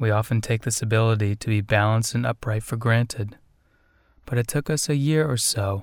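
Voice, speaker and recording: The recording is very clean, with a silent background. A man speaks in an unremarkable speaking voice at medium pitch, with fairly even intonation. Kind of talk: guided meditation. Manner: gentle, measured, with long pauses.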